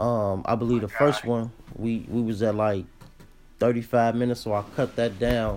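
A man with a medium-pitched voice talks at a moderate pace, his intonation flat and monotone and his loudness very even. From Chicago, West Side. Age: 20s. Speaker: podcast host. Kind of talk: casual interview.

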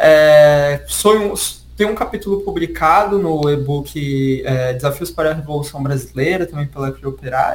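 There is noticeable background noise behind this recording. A man talks in a fairly high pitch. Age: 20s. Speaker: history teacher and researcher. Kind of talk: casual interview chat.

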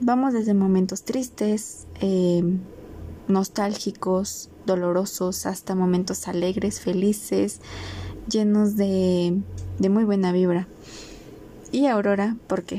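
With a Mexican accent, a woman speaks at a very slow pace with long, frequent pauses, medium pitch and fairly even intonation. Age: 20s. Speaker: podcast host, biology student. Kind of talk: solo podcast introduction.

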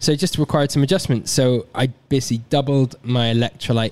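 Fairly quick speech from a man with a plain, everyday voice, medium pitch and ordinary pitch variation. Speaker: ultra runner. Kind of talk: casual chat.

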